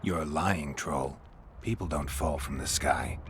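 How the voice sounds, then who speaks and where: Over clear background noise, a man uses a put-on character voice, very deep and low in pitch, at a fairly slow pace. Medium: video game. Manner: terse, dry.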